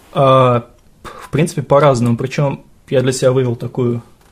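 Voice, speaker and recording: Speaking with a slight Russian accent, a man uses a medium pitch, a monotone, flat intonation and a somewhat breathy sound. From Russia, Bashkortostan (Sterlitamak). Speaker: English teacher. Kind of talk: casual chat.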